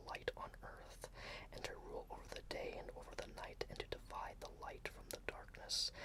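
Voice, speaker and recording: The words come out as a whisper at a moderate pace. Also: man. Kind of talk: ASMR bible reading. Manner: whispered.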